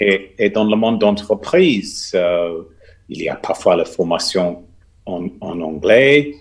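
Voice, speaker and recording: A man speaks with an English accent. He goes at a very slow pace. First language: English (speaking French). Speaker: business school teacher. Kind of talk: panel discussion. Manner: hesitant.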